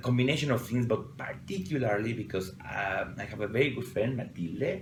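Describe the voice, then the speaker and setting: Over noticeable background noise and audible room echo, a man at medium pitch speaks with a Mexican accent. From Mexico City. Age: 40s. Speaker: perfumer. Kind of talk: interview. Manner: halting.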